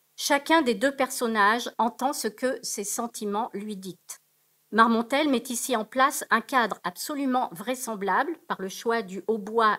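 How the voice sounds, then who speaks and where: Against a quiet background, a woman speaks at a fairly high pitch and a fairly slow pace. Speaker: academic researcher; conference presenter. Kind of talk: conference paper. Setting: auditorium. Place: hall.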